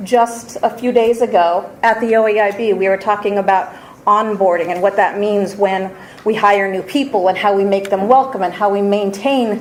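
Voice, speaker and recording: Moderate-paced speech from a woman, fairly high in pitch with ordinary variation, over noticeable background noise. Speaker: education policy presenter. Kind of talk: formal presentation.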